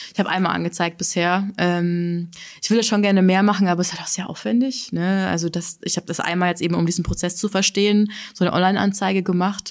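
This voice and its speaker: Very fast delivery from a woman at medium pitch, with fairly even intonation. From Bavaria, Altötting area. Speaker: social media educator and podcaster. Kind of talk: casual interview. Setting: studio.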